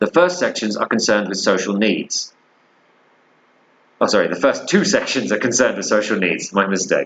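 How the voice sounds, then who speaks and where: A man talks with a British accent at a fairly quick pace. He leaves long, frequent pauses. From Britain. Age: 30s. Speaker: English teacher. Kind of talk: lecture. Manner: casual, halting with fillers.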